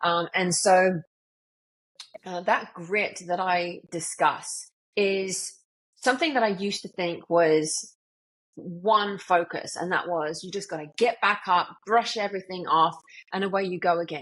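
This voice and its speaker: A woman with a British accent and a medium-pitched voice speaks at a fairly slow pace, with ordinary pitch variation and big swings in loudness. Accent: UK. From UK. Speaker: motivational speaker and author. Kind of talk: podcast interview.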